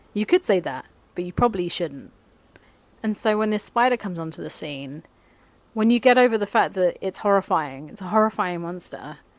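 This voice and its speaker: A plain, everyday voice moves at a fairly quick pace, with lively intonation and big swings in loudness. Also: woman, medium pitch for a woman. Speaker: film video essayist. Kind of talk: casual film review monologue.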